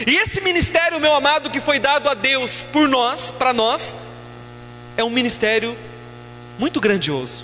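Speaking at a moderate pace with long, frequent pauses, a man uses a raised, projected voice at an extremely high pitch, with ordinary pitch variation and very even loudness over noticeable background noise. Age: 30s. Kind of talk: sermon.

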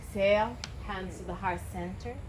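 A woman is heard over noticeable background noise. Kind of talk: guided yoga class instruction. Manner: calm, soothing, slow-paced cues; rhythmic, breath-timed commands.

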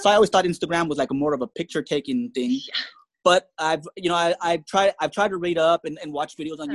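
A man talks at a fairly quick pace and fairly high pitch. The sound is dry and close with no echo. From Tijuana, Mexico, schooled in California. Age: 40s. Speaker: quadriplegic English teacher and online seller. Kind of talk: interview testimony. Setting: remote call from bed in nursing home.

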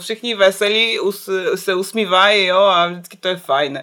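A woman with a Belarusian accent speaks at a moderate pace against noticeable background noise. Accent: foreign, Belarusian. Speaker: illustrator and graphic designer. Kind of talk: casual chat.

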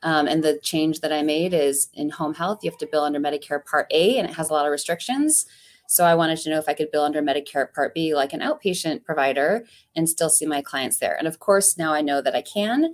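A woman with a Midwestern American accent talks at a very fast pace in a very deep, low pitch. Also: ordinary pitch variation. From US Midwest, Ohio. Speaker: physical therapist and business owner. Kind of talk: interview.

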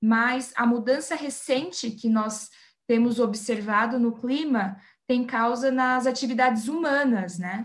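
Very slow speech from a woman, high in pitch and with ordinary pitch variation. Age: 20s. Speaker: environmental engineer. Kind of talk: interview.

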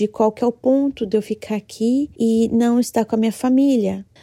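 In a dry, close recording with no echo, a woman speaks at a fairly high pitch with a dark, mellow tone and fairly even intonation. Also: very clean recording, silent background. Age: 30s. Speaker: listener sending a voice message. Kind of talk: recorded testimony.

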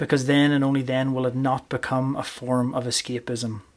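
With a Northern Irish accent, a man speaks at a moderate pace and medium pitch in a flat monotone, recorded very cleanly against a silent background. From Northern Ireland, County Armagh. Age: 30s. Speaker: rugby coach and podcast host. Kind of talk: solo podcast monologue.

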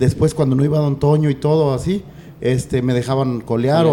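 This is a plain, everyday voice of a man at a medium pitch. He talks at a fairly quick pace with ordinary pitch variation. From Jalisco, Mexico. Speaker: charro horseman and horse trainer. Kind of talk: casual interview chat.

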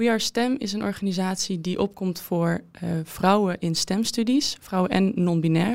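At a moderate pace, a woman talks at a medium pitch with ordinary pitch variation. It is an ordinary speaking voice. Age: 20s. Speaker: former fencer and student. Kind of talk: interview.

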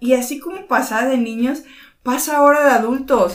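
There is audible room echo around a woman speaking in a high pitch. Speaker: podcast co-host. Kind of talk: casual chat.

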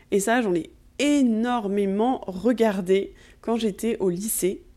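A woman speaks in a dark, mellow tone with ordinary pitch variation. The recording is very clean and the background silent. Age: 20s. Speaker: podcast host, Ayurveda practitioner. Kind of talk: personal monologue. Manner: hesitant, many fillers.

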